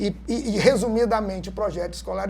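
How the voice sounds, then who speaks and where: A man's high-pitched voice at a moderate pace. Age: 60s. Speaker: university professor and course coordinator. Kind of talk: podcast discussion.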